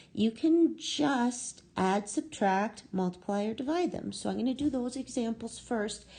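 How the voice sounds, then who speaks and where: Fairly high-pitched yet dark and mellow in tone, a woman sounds somewhat breathy. Her intonation is lively and her pace fairly slow. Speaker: math teacher. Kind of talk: lecture.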